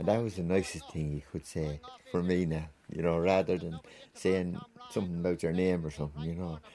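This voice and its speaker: At a fairly quick pace, a man speaks in a very deep, low voice with a dark, mellow tone and monotone, flat intonation. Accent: Wexford. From Ireland, County Wexford. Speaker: retired hurler. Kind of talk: reminiscing interview.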